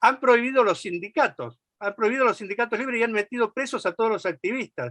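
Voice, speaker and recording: A man projects his raised voice with a bright, sharp tone. The sound is dry and close with no echo, and the background is quiet. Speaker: left-wing political activist. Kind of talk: political speech at a meeting. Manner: fast.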